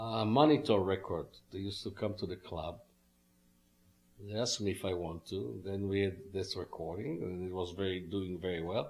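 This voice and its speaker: Somewhat breathy and very deep, a man speaks in a strong Israeli accent at a moderate pace, with ordinary pitch variation. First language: Hebrew. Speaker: musician. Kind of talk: interview. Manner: halting.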